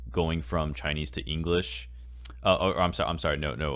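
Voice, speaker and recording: The pace is fairly quick, with vocal fry in the voice. Pitch varies in an ordinary way. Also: man. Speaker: podcast co-host. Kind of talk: casual podcast conversation. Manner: hesitant, many fillers.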